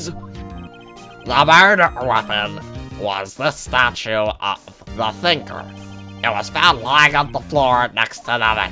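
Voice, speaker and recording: A man in a put-on character voice, medium in pitch and fairly slow, with clear music behind him. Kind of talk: courtroom speech. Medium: game stream.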